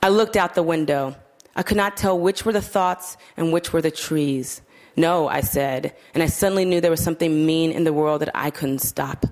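Her voice is an unremarkable speaking voice, as a woman speaks at a moderate pace and fairly low pitch with ordinary pitch variation and very even loudness. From US South, Georgia and Kentucky. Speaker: fiction writer. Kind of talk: casual talk to audience; reading aloud. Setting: stage with audience.

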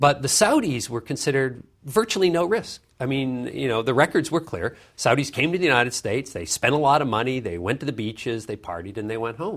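A man talks at a medium pitch and a fairly quick pace, using lively intonation with vocal fry. The recording is very clean, with a silent background. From Canada (Vancouver). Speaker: author and foreign policy fellow, former journalist. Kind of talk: interview. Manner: frequent repetitions and fillers.

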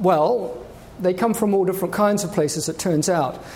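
The voice has lively intonation at a moderate pace. Noticeable background noise and audible room echo are present. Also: man. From New Zealand. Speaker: research oceanographer. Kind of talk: public lecture. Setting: stage with audience.

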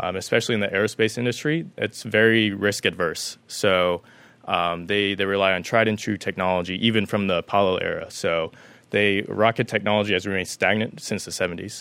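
An ordinary speaking voice from a man, fairly low in pitch, at a fairly quick pace with fairly even intonation. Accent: American. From Las Vegas, Nevada, US. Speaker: aerospace startup founder. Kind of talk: career talk.

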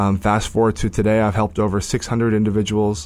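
Heard in a very clean recording with a silent background, a man with an ordinary speaking voice and an American accent talks at a fairly quick pace and fairly low pitch. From Northern California (Sacramento). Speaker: career coach. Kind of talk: interview.

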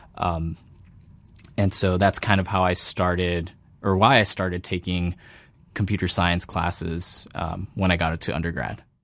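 A man talks at a moderate pace in a very deep, low pitch with fairly even intonation. The recording is very clean, with a silent background. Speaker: PhD student in computer science. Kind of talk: interview monologue. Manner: frequent fillers and self-corrections.

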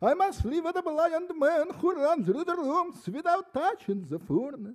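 Extremely high-pitched man's voice in a strong Russian accent, with very wide pitch swings and a fairly slow pace. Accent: heavy Russian. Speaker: poet. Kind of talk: poetry reading.

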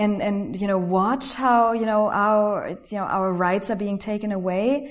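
A woman with a fairly high voice speaks at a fairly slow pace, her pitch varying in an ordinary way, with audible echo from the room. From Germany. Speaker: documentary filmmaker. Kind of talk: panel Q&A. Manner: halting.

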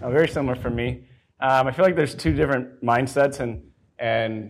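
In an ordinary speaking voice, a man talks at medium pitch and an unhurried, moderate pace. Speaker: software engineer, panelist. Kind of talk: panel discussion.

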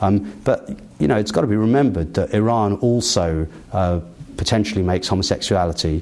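Speaking fairly quickly, a man with a very deep, low voice keeps his loudness very even. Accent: English. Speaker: human rights lawyer and author. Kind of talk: interview.

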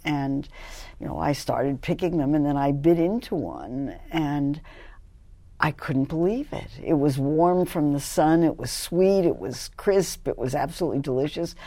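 Very deep, low woman's voice with a dark, mellow tone and an American accent, at a moderate pace with ordinary pitch variation, on a very clean recording with a silent background. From US, New York City and Los Angeles. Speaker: nutrition professor. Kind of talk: interview.

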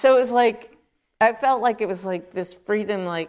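An unremarkable speaking voice, a woman with an American accent talks at a fairly high pitch and a moderate pace. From Queens, New York. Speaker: film editor. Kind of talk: interview on stage.

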